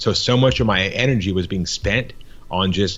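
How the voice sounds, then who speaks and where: This man's voice is very deep and low in pitch. He talks at a moderate pace with fairly even intonation. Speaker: business owner in marketing. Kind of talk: podcast interview. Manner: casual, with repetitions.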